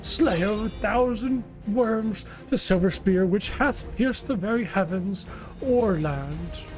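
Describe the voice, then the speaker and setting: A female-sounding, put-on character voice speaks at a fairly slow pace with a medium pitch for a woman. Clear music plays in the background. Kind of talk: archaic, grandiose.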